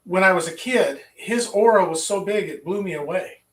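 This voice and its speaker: A man's high-pitched voice with an American accent and fairly even intonation, plus audible room echo. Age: 60s. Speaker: qigong teacher. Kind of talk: lecture. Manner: halting.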